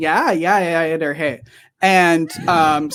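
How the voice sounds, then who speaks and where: Very slowly, a woman speaks in a Northern Wisconsin accent. Her pitch is fairly low and her intonation monotone and flat. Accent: Northern Wisconsin, Upper Midwest. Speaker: podcast host.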